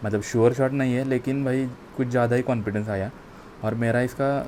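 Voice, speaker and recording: A man's medium-pitched voice in monotone, flat intonation. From Maharashtra, India. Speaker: exam aspirant vlogger. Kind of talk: casual vlog talk. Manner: halting, repetitive fillers.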